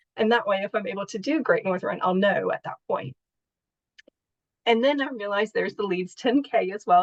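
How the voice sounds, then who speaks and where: A woman with an American accent talks at a fairly quick pace in a normal speaking voice. Her fairly high pitch and lively intonation come through in a dry, close sound with no echo. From United States. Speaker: patient and charity fundraiser. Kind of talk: interview.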